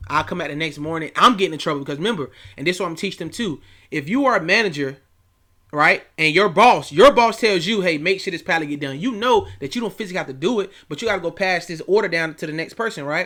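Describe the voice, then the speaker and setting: Bright and sharp in tone, a man's high voice moves at a very fast pace with lively intonation and an animated tone. The recording is very clean with a silent background. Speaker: youth coach and online academy founder. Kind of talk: casual vlog talk.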